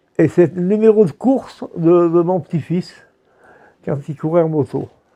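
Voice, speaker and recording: This man has a high voice with a dark, mellow tone and ordinary pitch variation. He speaks at a very slow pace. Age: 80s+. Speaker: interviewee in oral history documentary. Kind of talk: interview testimony. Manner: halting.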